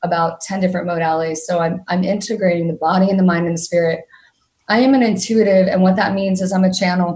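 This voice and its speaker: The voice is somewhat breathy. Its intonation stays fairly even. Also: woman. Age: 40s. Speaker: emotional mastery coach. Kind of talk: interview. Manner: fast.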